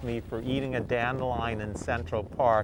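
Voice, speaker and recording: A man with a New York accent speaks against noticeable background noise. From New York, Queens. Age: 70s. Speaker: forager and environmental educator. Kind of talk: interview.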